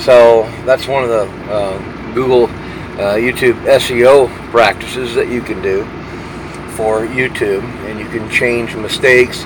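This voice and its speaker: Noticeable background noise sits under a man's medium-pitched voice. He speaks at a fairly slow pace with monotone, flat intonation. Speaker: truck driver vlogger. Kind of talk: casual vlog monologue. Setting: parked at a truck stop. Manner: halting, many fillers.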